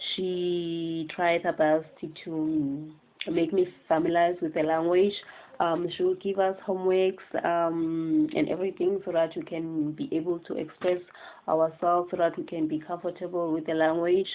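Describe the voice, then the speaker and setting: A woman speaks in a South African accent at a moderate pace. Her fairly low voice stays monotone and flat. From South Africa, Eastern Cape. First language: Xhosa. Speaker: student teacher. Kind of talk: class assignment presentation. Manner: hesitant, many fillers.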